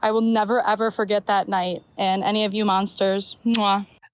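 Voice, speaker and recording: A woman with an American accent speaks at a fairly high pitch in a flat monotone. The sound is dry and close, with no echo. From Chicago area, US Midwest. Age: 20s. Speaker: listener sending voice memo. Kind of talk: voice memo.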